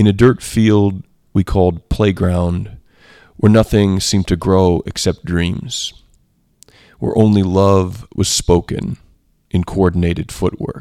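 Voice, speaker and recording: In a very clean, dry, close recording with a silent background and no echo, a man with a very deep, low pitch and a dark, mellow tone speaks at a very slow pace with fairly even intonation and long, frequent pauses. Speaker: poetry podcast host. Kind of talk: poetry reading. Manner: measured, unhurried, reflective; informal, hesitant with fillers when discussing craft.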